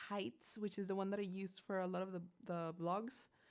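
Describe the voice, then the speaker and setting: A woman keeps a moderate pace on a very clean recording, the background silent. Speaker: singer and composer streaming to supporters. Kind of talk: casual live stream chat. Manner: halting, many repetitions.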